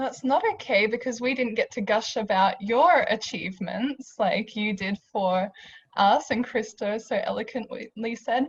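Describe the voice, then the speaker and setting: In an Australian accent, a woman speaks at a fairly high pitch. Her pace is fairly slow, with ordinary pitch variation. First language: not English. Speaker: university staff panelist. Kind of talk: panel discussion.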